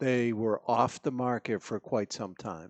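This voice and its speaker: Fairly even intonation runs through a man's medium-pitched speech. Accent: New England. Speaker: podcast panel host. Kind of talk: casual chat. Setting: studio with live audience.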